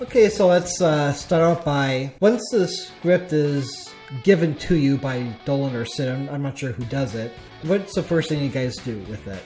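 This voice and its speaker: Over music in the background, a man with a fairly high pitch talks with lively intonation. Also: moderate pace. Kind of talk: podcast host conversation.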